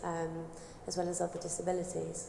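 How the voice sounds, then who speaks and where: A woman speaks at a moderate pace. Both audible room echo and noticeable background noise are there. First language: British Sign Language. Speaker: audience member asking a question. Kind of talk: audience question.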